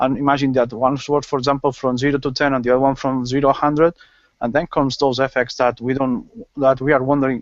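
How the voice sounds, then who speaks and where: A man speaks very fast in a strong Spanish accent with monotone, flat intonation. The background is quiet. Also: medium pitch for a man. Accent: Spanish accent, strong at times. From Spain. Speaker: gaming panelist. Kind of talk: casual panel chat. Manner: halting.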